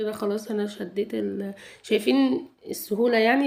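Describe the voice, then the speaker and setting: Speaking with an Egyptian accent, a woman talks at a moderate pace and medium pitch. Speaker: home vlogger. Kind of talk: cleaning routine vlog narration. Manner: halting, many restarts.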